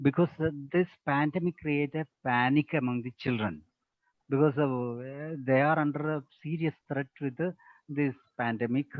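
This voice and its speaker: In a Keralan accent, a man speaks at a fairly high pitch. His intonation is fairly even and his pace moderate. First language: Malayalam. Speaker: teacher trainer / resource person. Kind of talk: webinar Q&A answer.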